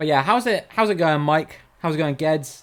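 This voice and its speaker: The recording is very clean, with a silent background. The speaker has a southern English accent and keeps a moderate pace. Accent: generic southern English. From England, Cornwall. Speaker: streamer. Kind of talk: live gaming stream chat.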